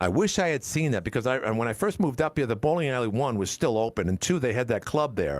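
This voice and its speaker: Speaking at a very fast pace, a man swings his pitch very widely. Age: 60s. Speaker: talk radio host. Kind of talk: call-in talk radio. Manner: halting, repetitive.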